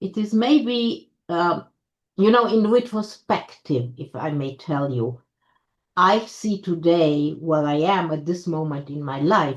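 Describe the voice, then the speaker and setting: A woman speaks at a very slow pace. Her voice is fairly low, with lively intonation. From Austria (Vienna). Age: 70s. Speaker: academy president. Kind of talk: interview. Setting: video call.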